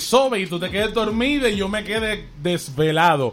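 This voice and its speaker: A man with an animated tone and lively intonation. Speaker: podcast host. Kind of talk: casual chat.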